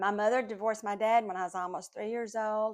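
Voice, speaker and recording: A woman speaks in a flat monotone, recorded very cleanly against a silent background. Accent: Southern US. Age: 60s. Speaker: podcast host, Bible teacher. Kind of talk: personal testimony. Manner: casual, hesitant with fillers.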